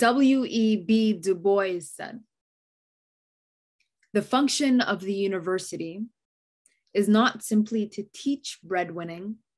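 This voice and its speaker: A woman speaks very slowly with long, frequent pauses and a somewhat breathy voice. Her pitch varies in an ordinary way over a quiet background. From Somali-Canadian. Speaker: poet and author. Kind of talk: keynote poetry reading. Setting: virtual gala address. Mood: earnest, warm. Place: home room. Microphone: phone near.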